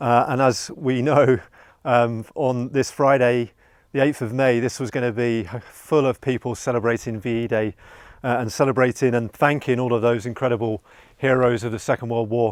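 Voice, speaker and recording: On a very clean recording with a silent background, a man with an unremarkable speaking voice talks at a moderate pace, medium pitch and fairly even intonation. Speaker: pub host. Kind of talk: casual talk to camera. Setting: outdoors.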